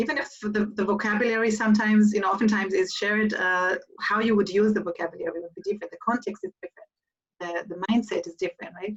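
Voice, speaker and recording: With an Israeli accent, a woman talks at a very fast pace with hardly any pauses, her pitch fairly high and her intonation fairly even. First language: Hebrew. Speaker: event moderator. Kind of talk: live interview Q&A.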